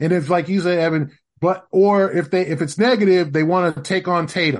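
Against a quiet background, someone talks at a moderate pace with an American accent. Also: man. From Los Angeles. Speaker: basketball writer. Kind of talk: casual chat. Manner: halting.

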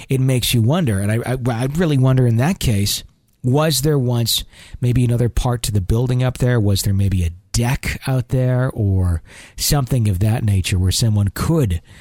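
The man's voice has a warm tone that is also dark and mellow. It sounds somewhat breathy. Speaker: podcast host. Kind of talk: ghost story narration. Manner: conversational, earnest, warm.

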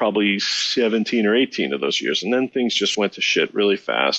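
A man speaks in an ordinary speaking voice. His pitch is fairly low, with ordinary pitch variation. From Chicago. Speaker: musician. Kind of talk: casual interview.

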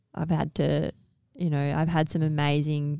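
A woman's very deep, low voice with an Australian accent, dry and close with no echo. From Western Australia, Perth. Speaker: Olympic softball player. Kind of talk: casual interview chat.

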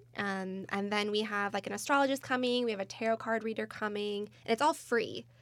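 Speaking at a fairly quick pace, a woman with an American accent has a plain, everyday voice with a fairly high pitch. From Michigan, US Midwest. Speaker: crystal company employee. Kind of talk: casual chat.

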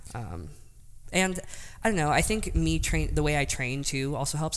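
Vocal fry runs through a woman's very deep, low-pitched voice, with audible room echo. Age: 20s. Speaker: powerlifter, world record holder. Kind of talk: interview.

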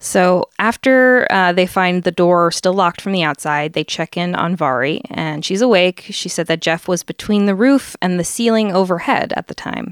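Her pitch is medium and varies in an ordinary way, and the woman has an ordinary speaking voice. She talks at a moderate pace with hardly any pauses, in a dry, close sound with no echo. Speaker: podcast co-host. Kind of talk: casual storytelling chat. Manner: playful, laughs often.

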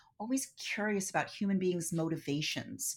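A woman with an American accent has an unremarkable speaking voice, medium in pitch with ordinary pitch variation. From Philadelphia, US. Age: 50s. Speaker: psychotherapist and movement therapist. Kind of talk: casual interview chat.

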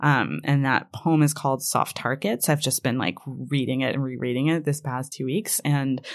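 On a very clean recording with a silent background, a woman with a very deep, low pitch shows vocal fry and ordinary pitch variation. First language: Hebrew. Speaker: fiction writer. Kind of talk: interview. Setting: studio.

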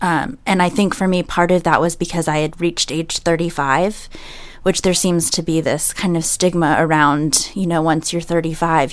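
Fairly low for a woman, a plain, everyday voice speaks at a fairly slow pace with fairly even intonation. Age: 30s. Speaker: salesperson sharing pregnancy loss story. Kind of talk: panel discussion, personal testimony. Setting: studio.

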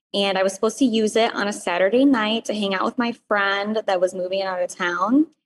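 In a plain, everyday voice, a woman talks at a medium pitch with ordinary pitch variation. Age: 20s. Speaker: caller. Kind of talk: advice call.

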